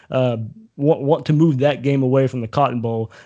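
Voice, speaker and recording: Against a quiet background, a man with a Southern US accent speaks at a medium pitch and a moderate pace, with ordinary pitch variation and a dark, mellow tone. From Southeast Georgia, US South. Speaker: TV sports reporter. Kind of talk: casual chat. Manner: halting, many fillers.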